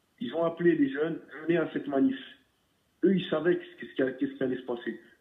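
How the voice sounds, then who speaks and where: A man with a high voice talks at a very fast pace, his pitch swinging very widely and his loudness rising and falling sharply. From southern France. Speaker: caller. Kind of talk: heated call-in discussion. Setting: phone call. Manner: halting, repeats words.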